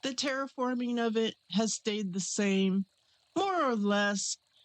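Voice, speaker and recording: Her voice is quiet and fairly high-pitched. The woman speaks very slowly. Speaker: gaming YouTuber. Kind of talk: casual gameplay commentary. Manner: hushed, quiet.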